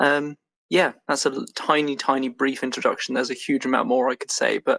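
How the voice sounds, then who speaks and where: With an English accent, a man talks at a fairly quick pace in a dry, close sound with no echo. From England. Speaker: game studio co-founder. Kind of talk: podcast interview. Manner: many filler words (um, uh).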